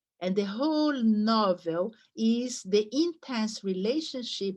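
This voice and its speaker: Someone speaks very slowly with a Brazilian accent against a quiet background. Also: woman. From Brazil, São Paulo. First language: Portuguese. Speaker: literature professor. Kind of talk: lecture. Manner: halting, with fillers and restarts.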